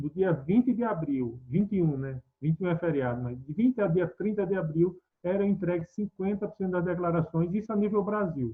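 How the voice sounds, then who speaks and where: The speaker talks at a fairly quick pace with a Pernambuco accent and hardly any pauses. The intonation is lively. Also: man, high pitch for a man. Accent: Pernambuco accent, noticeable. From Pernambuco, northeast Brazil. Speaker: tax expert speaker. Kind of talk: webinar lecture. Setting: online webinar. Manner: conversational, with fillers.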